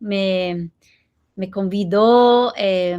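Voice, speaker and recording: A woman with ordinary pitch variation in a very clean recording with a silent background. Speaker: professor, guest lecturer. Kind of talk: academic lecture. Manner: slow; halting.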